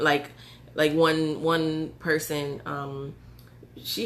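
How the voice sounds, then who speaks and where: A woman's very deep, low voice in an American accent, fairly even in intonation, with audible room echo. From Washington, D.C., US. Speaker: vlogger. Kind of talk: casual talk to camera. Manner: hesitant, many fillers.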